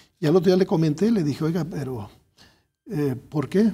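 A man speaks in a dark, mellow, somewhat breathy tone with ordinary pitch variation. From Guadalajara, Jalisco, Mexico. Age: 60s. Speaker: engineer and academic researcher; guest. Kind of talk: interview. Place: studio.

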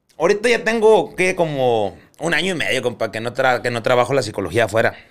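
A man talking at a fairly quick pace with lively intonation, over a quiet background. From Colombia (Barranquilla); Colombia. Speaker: clinical psychologist, former prison psychologist. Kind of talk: casual chat. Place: studio. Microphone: studio mic.

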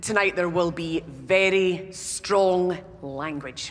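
Fairly even intonation with a Scottish accent. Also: woman. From Scotland. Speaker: actor and theatre director. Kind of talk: documentary presenter address to audience. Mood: playful, wry. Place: hall.

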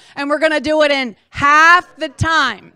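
A woman's bright, sharp, raised and projected voice at a moderate pace against a quiet background. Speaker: presenter. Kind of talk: motivational presentation. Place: meeting room. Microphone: handheld.

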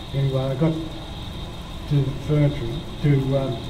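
With noticeable background noise, a man speaks in a monotone, flat intonation. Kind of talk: interview answer. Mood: reflective, matter-of-fact. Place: studio.

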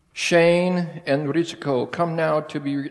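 Very slow male speech, quiet background behind it. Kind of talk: prayer and wedding vows liturgy. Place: church.

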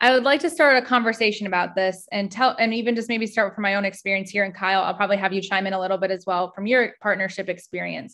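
A woman with an American accent speaks at a very fast pace with hardly any pauses, her tone bright and sharp. Her pitch variation is ordinary, and the background is quiet. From US Midwest. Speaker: mental health nonprofit staff presenter; presenter. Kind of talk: educational workshop presentation. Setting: video call. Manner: casual, frequent filler words. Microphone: video call.

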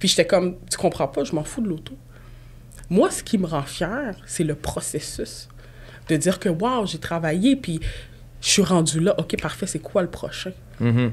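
A woman speaks at a fairly slow pace, leaving long, frequent pauses. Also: fairly low pitch for a woman, lively intonation. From Quebec. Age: 20s. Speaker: real estate broker and podcast host; podcast host. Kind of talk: casual chat. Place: studio. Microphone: studio mic.

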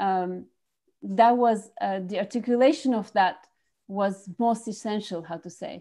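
Over a quiet background, a voice with a French accent and a dark, mellow tone shows big swings in loudness and ordinary pitch variation. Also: woman, fairly slow pace. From France. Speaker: filmmaker. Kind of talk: interview. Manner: halting. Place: home room. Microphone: earbuds.

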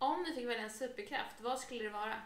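A woman speaks at a high pitch, with room echo audible. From Stockholm, Sweden. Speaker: vlogger. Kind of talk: casual chat. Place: home room. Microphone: camera far.

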